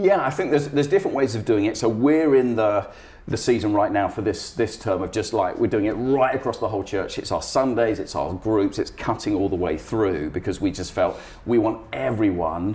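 A man speaks fairly quickly in a somewhat breathy voice with lively intonation. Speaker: guest. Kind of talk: interview answer. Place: home room.

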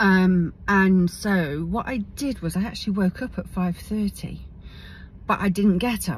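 A woman with an English accent, somewhat breathy and fairly slow, with ordinary pitch variation, in a dry sound with no echo and light background noise. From England. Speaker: video blogger. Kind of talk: personal video diary. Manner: halting. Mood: warm, reflective. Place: car. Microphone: phone near.

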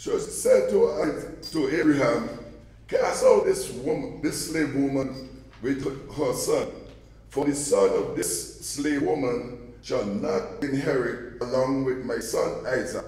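His voice carries audible room echo. He talks at a very slow pace. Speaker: scripture reader. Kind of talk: scripture reading. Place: church.

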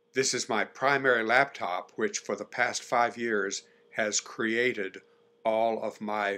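This man talks at a very slow pace in a medium pitch, his tone bright and sharp. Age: 70s. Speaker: retired math teacher and pianist. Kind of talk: casual talk to camera.

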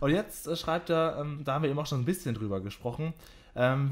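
This man has fairly high pitch. He talks at a fairly quick pace. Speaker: podcast host. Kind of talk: interview. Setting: his own home. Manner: announcer-like.

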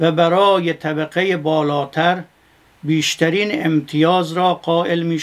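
At a very slow pace, a man speaks with a high pitch and fairly even intonation. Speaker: cleric lecturer. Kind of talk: lecture. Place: studio.

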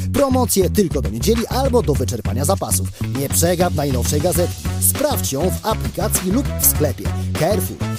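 The speaker uses lively intonation while music plays in the background. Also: man. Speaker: voice actor. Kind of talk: TV commercial read. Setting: studio. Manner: upbeat.

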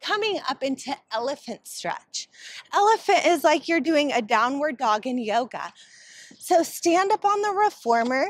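A woman talks at a fairly slow pace in a high pitch, her voice swinging very widely up and down. The sound is dry with no echo over a quiet background. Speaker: Pilates instructor. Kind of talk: guided reformer Pilates workout with breath and rep cues. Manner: rhythmic, counting cues in short clipped phrases; calm, encouraging and warm. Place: garden.

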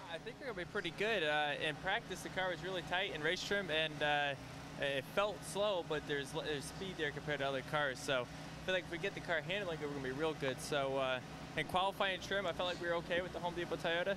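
At a very fast pace, a man talks with ordinary pitch variation over noticeable background noise, the sound dry with no echo. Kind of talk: interview answer. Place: stadium. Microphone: handheld.

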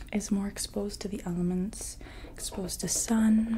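Soft-spoken, a woman talks at a fairly slow pace over light background noise. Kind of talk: soft-spoken ASMR roleplay consultation. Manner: soft-spoken, hushed ASMR voice. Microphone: earbuds.

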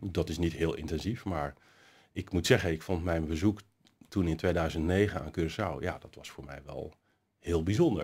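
A man's very deep, low voice, somewhat breathy, at a moderate pace with ordinary pitch variation and big swings in loudness. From Netherlands, Nieuwkoop; Netherlands. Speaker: city councillor. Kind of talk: interview. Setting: studio. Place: hall.

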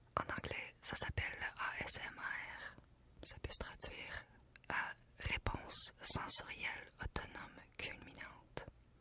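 A woman whispers. She speaks at a very slow pace. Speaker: news channel journalist. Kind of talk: casual talk to camera. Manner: whispered, soft-spoken. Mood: playful, slightly uneasy. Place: studio. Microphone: studio mic.

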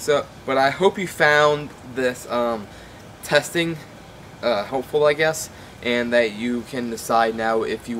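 A man speaks with ordinary pitch variation. There is light background noise. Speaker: product reviewer. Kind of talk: casual review with audio test. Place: garden. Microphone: camera far.

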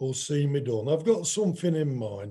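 A man with an East Midlands accent speaks in a dark, mellow tone, his pitch swinging very widely. The background is quiet. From England. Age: 60s. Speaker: boxer. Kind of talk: casual chat. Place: home room. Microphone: video call.

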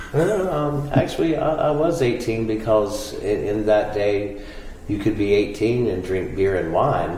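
With an American accent and lively intonation, a man speaks at a fairly slow pace amid audible room echo and light background noise. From US South, Greensboro, North Carolina; North Carolina. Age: 50s. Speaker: interviewee. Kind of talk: oral history interview. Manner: halting. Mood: relaxed, amused. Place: studio. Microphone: lapel.

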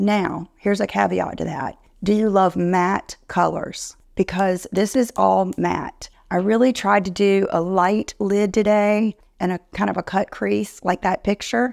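A woman speaks at a fairly slow pace with few pauses, her slightly mellow tone carrying vocal fry. The recording is very clean, with a silent background. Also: medium pitch for a woman, fairly even intonation.

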